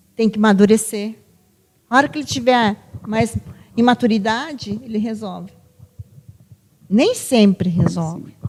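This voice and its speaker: A woman with a fairly high, somewhat breathy voice speaks at a fairly slow pace, pausing often and at length. Her pitch varies in an ordinary way. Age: 60s. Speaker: psychologist. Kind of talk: podcast conversation.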